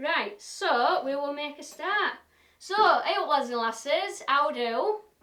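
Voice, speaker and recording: A woman projects her high voice in a raised tone. She moves at a very slow pace with lively intonation. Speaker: woodturner and live-stream demonstrator. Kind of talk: playful recipe demo in exaggerated broad Yorkshire; live-stream demo with casual chat. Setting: live stream.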